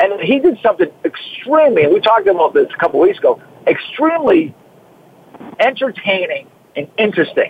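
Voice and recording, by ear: In a Boston accent with a slightly husky edge, the voice makes big pitch swings at a fairly quick pace with a dry, close sound and no echo. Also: man, high pitch for a man.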